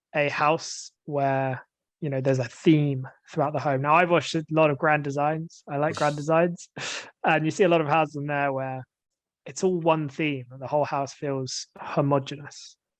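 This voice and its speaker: A man speaks with a British accent at a moderate pace. His fairly high voice stays monotone and flat. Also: quiet background. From England. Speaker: English teacher. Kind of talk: casual discussion.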